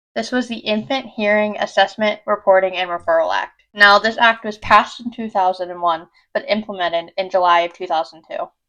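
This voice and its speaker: An ordinary speaking voice with an American accent. The pace is fairly quick, with ordinary pitch variation. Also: woman. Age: 20s. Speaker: vlogger, incoming medical student with hearing loss. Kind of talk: personal vlog talk.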